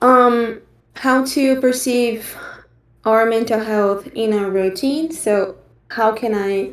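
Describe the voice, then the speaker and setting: Here a woman talks in a Brazilian accent at a fairly high pitch. Her pace is very slow. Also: ordinary pitch variation. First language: Portuguese. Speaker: online course trainer. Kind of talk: online training session presentation. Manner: halting, frequent fillers.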